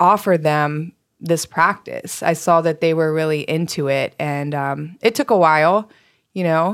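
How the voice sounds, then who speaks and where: A normal speaking voice from a woman, fairly low in pitch with ordinary pitch variation, at a fairly slow pace on a very clean recording with a silent background. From US East Coast. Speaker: nonprofit founder and yoga teacher. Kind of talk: interview.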